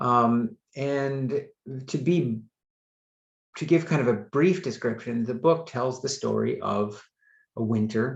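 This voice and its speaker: With an American accent, a man talks at a very slow pace and a medium pitch, somewhat breathy, with ordinary pitch variation and long, frequent pauses. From USA. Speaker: author. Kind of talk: author talk.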